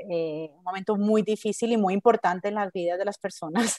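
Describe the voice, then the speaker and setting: Here is a woman with a normal speaking voice, fairly high in pitch and fairly even in intonation. She talks at a moderate pace, and the sound is dry and close with no echo. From Colombia, Medellín. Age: 40s. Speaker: book editor. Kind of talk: interview.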